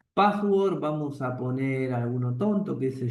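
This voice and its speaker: At a very slow pace, a man with a Rioplatense accent speaks with a fairly high pitch and lively intonation. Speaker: programming teacher. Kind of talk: lecture.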